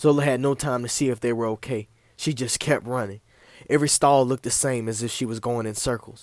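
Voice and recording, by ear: Someone reads aloud. The delivery is in a natural voice.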